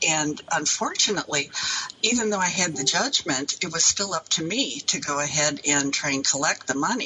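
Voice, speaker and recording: Noticeable background noise surrounds the recording. A woman speaks with a very deep, low pitch and lively intonation. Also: moderate pace. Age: 70s. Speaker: elder abuse victim. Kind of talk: interview. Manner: halting.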